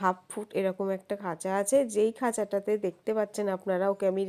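This woman's voice has a dark, mellow tone. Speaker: pet bird vlogger. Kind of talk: vlog narration.

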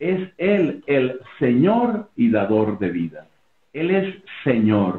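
A man speaks at a very slow pace. His voice carries audible room echo. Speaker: interview guest. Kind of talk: interview answer, preaching style. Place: home room. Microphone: video call.

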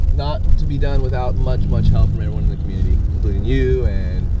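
A man speaks at a very fast pace in a dry sound with no echo, over loud background noise. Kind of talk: casual vlog chat. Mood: upbeat, excited recap. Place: car. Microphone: phone near.

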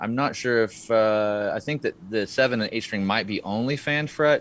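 At a moderate pace, a man talks with a fairly low pitch, ordinary pitch variation, and a fairly bright tone.

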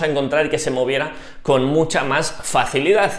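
A man is speaking. Audible room echo surrounds his voice. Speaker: cycling youtuber. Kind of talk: tutorial. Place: home room. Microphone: lapel.

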